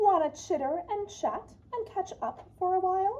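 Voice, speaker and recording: At a moderate pace, the speaker delivers lines in a put-on character voice. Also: woman, extremely high pitch for a woman. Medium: read story.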